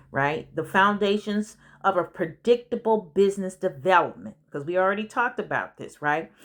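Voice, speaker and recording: With an unremarkable speaking voice, a woman speaks at a moderate pace and medium pitch with ordinary pitch variation, in a very clean recording with a silent background. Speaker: business coach and consultant. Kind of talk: audiobook narration with casual asides. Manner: conversational, informal.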